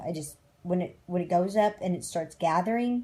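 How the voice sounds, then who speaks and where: With a dark, mellow tone and a somewhat breathy quality, a woman speaks at a fairly low pitch and moderate pace with ordinary pitch variation. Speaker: DIY camper renovator. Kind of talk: tutorial.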